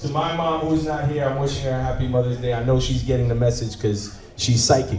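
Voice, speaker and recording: A man's medium-pitched, animated voice with a slight Jamaican accent, moderate pace, ordinary pitch variation and audible room echo. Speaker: event host. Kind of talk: event emceeing. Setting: luncheon event with audience.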